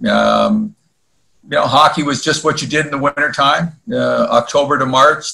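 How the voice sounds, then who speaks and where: A man speaks with an Ontario accent. His pitch rises and falls in an ordinary way. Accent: Canadian (Ontario). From Ontario, Canada (Woodbridge, near Toronto). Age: 60s. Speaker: former hockey goalie. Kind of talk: podcast interview. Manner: hesitant, many fillers.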